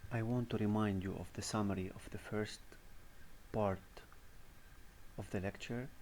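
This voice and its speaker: A man with a non-native accent and a fairly low pitch speaks in a monotone, flat intonation, with long, frequent pauses and audible room echo. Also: moderate pace. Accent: non-native English, pronunciation mistakes. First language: not English (English is third language). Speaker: university lecturer. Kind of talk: recorded lecture. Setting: voice-over on presentation slides. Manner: halting, with fillers.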